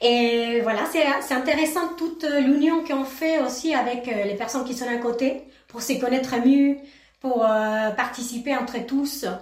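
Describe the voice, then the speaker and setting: With an Argentine accent, the speaker talks at a fairly slow pace in fairly even intonation. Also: woman, high pitch for a woman. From Argentina, Mendoza. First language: Spanish (speaking French). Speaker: ceramic artist. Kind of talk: radio interview.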